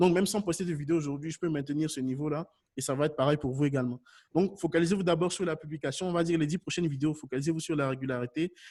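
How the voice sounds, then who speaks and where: A man talks at a very fast pace. His voice is fairly high in pitch and animated in tone. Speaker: YouTube consultant for businesses. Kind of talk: webinar Q&A. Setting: online webinar.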